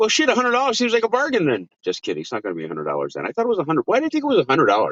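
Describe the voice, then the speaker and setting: A man talks at a very fast pace. He leaves hardly any pauses. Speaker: weather show host. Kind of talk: casual live stream chat.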